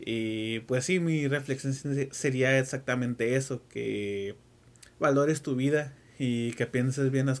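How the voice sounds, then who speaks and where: This man's pitch varies in an ordinary way. It sits at a medium level. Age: 20s. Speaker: forensic autopsy technician. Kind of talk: casual chat.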